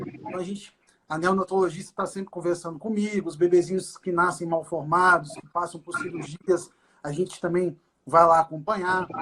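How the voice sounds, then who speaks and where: High male voice at a moderate pace, with big swings in loudness. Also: fairly even intonation. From Brazil, Minas Gerais (Governador Valadares). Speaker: doctor specialising in fetal medicine and ultrasound. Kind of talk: casual live-stream conversation. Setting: online live stream.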